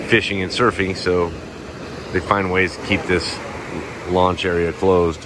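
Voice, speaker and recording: Over noticeable background noise, a man speaks in a very deep, low voice with monotone, flat intonation. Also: dry sound with no echo. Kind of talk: casual vlog commentary. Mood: mildly indignant, then wary. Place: beach. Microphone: phone near.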